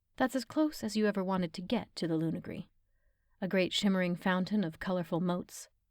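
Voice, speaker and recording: This is an unremarkable speaking voice at a fairly quick pace. The recording is very clean, with a silent background. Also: woman. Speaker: narrator. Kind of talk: audiobook narration.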